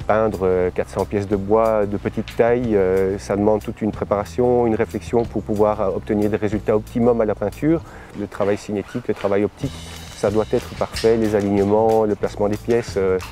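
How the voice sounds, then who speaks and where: With music playing in the background, a man talks at a fairly quick pace in a fairly low pitch with ordinary pitch variation. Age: 40s. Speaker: visual artist. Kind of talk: interview monologue. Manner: halting, many fillers.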